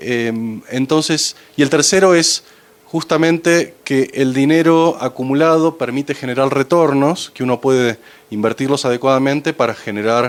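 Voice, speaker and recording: The man's pitch sits fairly high. He speaks at a fairly slow pace. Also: ordinary pitch variation. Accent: Argentine. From Argentina. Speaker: financial advisor to foundations. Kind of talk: conference talk.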